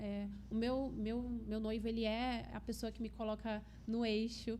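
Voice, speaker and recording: In a São Paulo accent, a woman speaks at a fairly slow pace with monotone, flat intonation over noticeable background noise. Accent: São Paulo accent, noticeable S. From Brazil, São Paulo state. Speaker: health and aesthetics professional, also teacher. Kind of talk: podcast interview.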